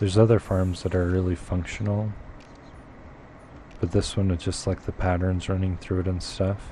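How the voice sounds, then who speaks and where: Speaking at a moderate pace with long, frequent pauses, a man uses a very deep, low pitch, somewhat breathy and monotone with flat intonation. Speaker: gaming streamer. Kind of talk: live gameplay commentary. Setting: live stream.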